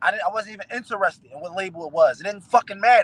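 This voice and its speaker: A man's high, animated voice in an American accent at a very fast pace, with a dry, close sound and no echo. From West Philadelphia, US. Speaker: rapper. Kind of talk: interview.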